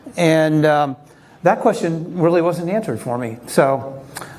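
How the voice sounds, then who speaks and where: A man's voice carries audible room echo. Noticeable background noise sits behind it. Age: 60s. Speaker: recreational triathlete and engineer telling his health story. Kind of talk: conference talk. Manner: halting with many fillers.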